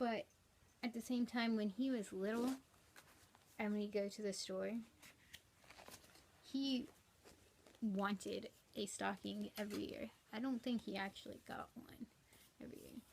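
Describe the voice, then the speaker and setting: Soft-spoken, a woman talks at a fairly high pitch and a fairly slow pace with fairly even intonation. Her pauses are long and frequent. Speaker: cross-stitch vlogger. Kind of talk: casual chat. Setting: at home. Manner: rambling.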